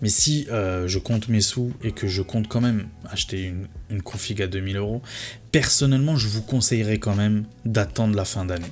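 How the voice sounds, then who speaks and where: A man speaks in a somewhat breathy voice. His pitch is fairly low, with ordinary variation. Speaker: tech youtuber. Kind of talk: casual video commentary. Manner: fast; hesitant with fillers.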